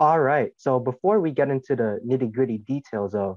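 A man with an unremarkable speaking voice, medium pitch, moderate pace and lively intonation. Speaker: podcast host. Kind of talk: podcast interview questions.

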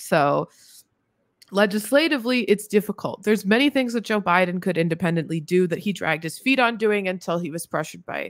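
Her intonation lively, a woman speaks against a quiet background with a dry sound and no echo. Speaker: podcast guest. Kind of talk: interview answer. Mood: critical, occasionally laughing. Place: home room. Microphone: studio mic.

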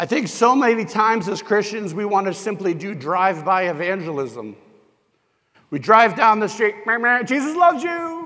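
A man's high, raised and projected voice in a bright, sharp tone, with an American accent, very wide pitch swings and a moderate pace. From US Northeast, New Hampshire. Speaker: pastor. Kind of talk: sermon. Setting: church.

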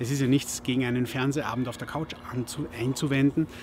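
A man talks at a moderate pace with ordinary pitch variation, the sound dry with no echo and light background noise behind him. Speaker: podcaster. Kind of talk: advice talk to camera. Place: garden.

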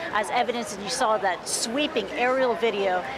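Crowd noise fills the background of this dry, echo-free recording. A woman talks at a fairly quick pace. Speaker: news correspondent. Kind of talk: live news report. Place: street.

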